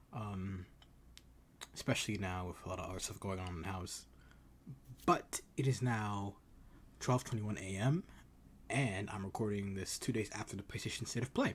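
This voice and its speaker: A man's somewhat breathy voice, with ordinary pitch variation and long, frequent pauses. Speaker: gaming youtuber. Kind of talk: casual video commentary. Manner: fast, sometimes slurred; hesitant, many fillers.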